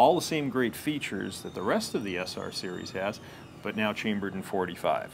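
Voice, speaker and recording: Noticeable background noise accompanies a man who speaks at a moderate pace. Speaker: presenter. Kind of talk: product demonstration. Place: office.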